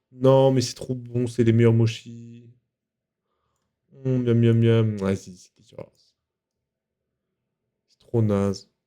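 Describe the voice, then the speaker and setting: Very slowly, a man speaks in a dark, mellow tone at medium pitch, with big swings in loudness and long, frequent pauses. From Paris suburbs, France. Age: 20s. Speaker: video game streamer. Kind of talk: casual live-stream chat while gaming. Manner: animated, informal.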